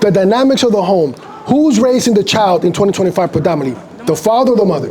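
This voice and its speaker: A man, high in pitch, at a very fast pace, with an animated tone, lively intonation and very even loudness, plus audible room echo and noticeable background noise. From Dominican Republic. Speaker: street preacher. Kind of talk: heated debate.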